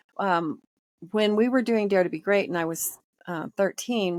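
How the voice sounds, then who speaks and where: In a dry, close sound with no echo on a very clean recording with a silent background, a woman has a plain, everyday voice with ordinary pitch variation. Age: 60s. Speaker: energy healing practitioner. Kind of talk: interview.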